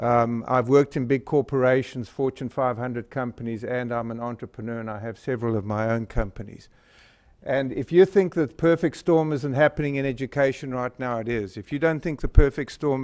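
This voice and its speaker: Speaking at a fairly quick pace, a man uses a southern African accent. His pitch variation is ordinary, and the background is quiet. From Northern Rhodesia (Zambia), southern Africa. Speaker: company presenter, physician and entrepreneur. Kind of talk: presentation to a school board. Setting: public board meeting. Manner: hesitant, many filler words.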